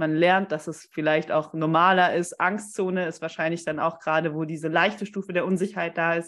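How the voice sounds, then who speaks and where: A plain, everyday voice with fairly even intonation at a moderate pace. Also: woman. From Stuttgart area, Germany. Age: 20s. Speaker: podcast co-host, marketing consultant. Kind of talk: casual chat.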